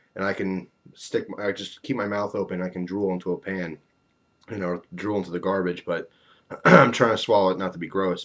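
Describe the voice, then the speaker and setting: Putting on a raspy character voice, a man speaks at a very deep, low pitch and a fairly quick pace with fairly even intonation. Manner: uncomfortable, talking with open mouth.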